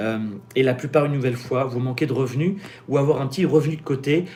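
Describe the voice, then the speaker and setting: A man with a medium pitch, talking at a very fast pace. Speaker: business coach and YouTuber. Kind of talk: live-stream Q&A with sales pitch. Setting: live stream. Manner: animated.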